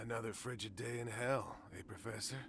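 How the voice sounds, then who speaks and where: Over loud background noise, a man in a put-on character voice talks at a fairly quick pace and a medium pitch. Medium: video game. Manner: mocking, gloating.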